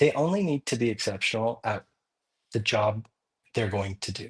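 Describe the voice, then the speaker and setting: Recorded with a dry, close sound and no echo, a man speaks at a moderate pace with ordinary pitch variation. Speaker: crypto project co-founder. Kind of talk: podcast interview. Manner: loud; animated.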